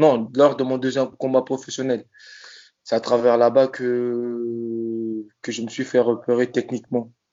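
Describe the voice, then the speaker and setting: A man's medium-pitched voice with a monotone, flat intonation. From Congo-Brazzaville. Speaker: professional boxer. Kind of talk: interview. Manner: halting.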